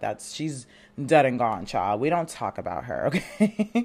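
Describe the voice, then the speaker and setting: A woman's very deep, low voice with vocal fry, an animated tone and very wide pitch swings. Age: 20s. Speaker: podcast host. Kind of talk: casual chat.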